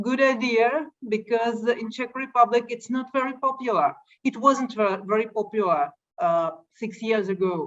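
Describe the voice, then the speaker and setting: The speaker talks in a Russian accent. The pace is fairly slow, with ordinary pitch variation. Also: woman. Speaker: light painting photographer. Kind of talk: interview. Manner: halting.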